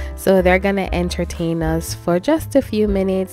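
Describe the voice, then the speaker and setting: A woman talks at a fairly slow pace. The sound is dry with no echo, with faint music in the background. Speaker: family vlogger. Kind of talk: casual vlog chat. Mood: proud, warm. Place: home room. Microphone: phone near.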